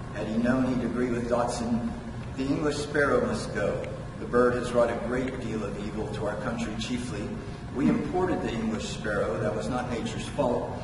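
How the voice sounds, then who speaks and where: Audible room echo and noticeable background noise surround a man's voice. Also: moderate pace. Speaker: poet. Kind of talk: poet reading own prose poem aloud, measured, with wry asides. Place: hall.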